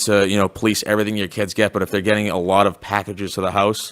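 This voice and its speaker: A man talks at a very fast pace in a monotone, with flat intonation. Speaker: school resource officer. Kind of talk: panel presentation. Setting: school hall with audience.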